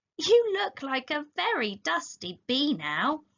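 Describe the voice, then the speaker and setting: In a put-on character voice, a woman speaks high-pitched at a fairly slow pace with very wide pitch swings. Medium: read story. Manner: curious, wondering.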